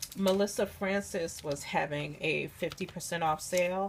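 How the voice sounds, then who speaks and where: The intonation stays fairly even. Vocal fry runs through the voice. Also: woman. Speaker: crafter, scrapbooker. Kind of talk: casual talk to camera, craft haul.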